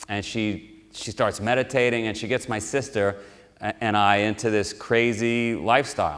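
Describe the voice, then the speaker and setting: In a New York accent, a man talks at a fairly low pitch with ordinary pitch variation. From New York City (Queens). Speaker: motivational speaker. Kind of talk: motivational talk. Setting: live audience at military base.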